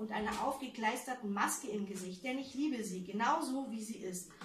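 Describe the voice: With ordinary pitch variation, this is plain reading aloud.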